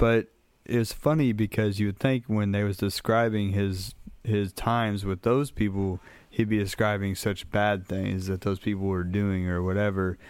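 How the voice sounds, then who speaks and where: In an American accent, a man with an ordinary speaking voice talks at a moderate pace, his fairly low pitch held in fairly even intonation on a very clean recording with a silent background. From US Midwest, Minneapolis. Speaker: tattoo artist. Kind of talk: casual interview.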